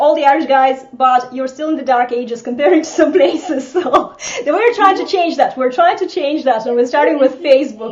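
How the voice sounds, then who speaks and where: Speaking at a fairly quick pace, a woman with a slight Eastern European accent has a high pitch and lively intonation. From Estonia. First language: Russian. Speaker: social media coach. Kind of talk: casual chat. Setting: live video broadcast.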